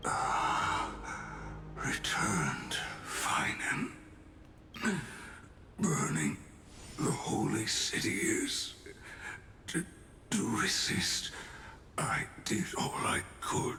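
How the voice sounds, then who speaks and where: A man uses a raspy, put-on character voice at a very slow pace, with long, frequent pauses and very even loudness. There is slight echo and light background noise. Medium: video game. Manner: inverted, halting word order; solemn, measured.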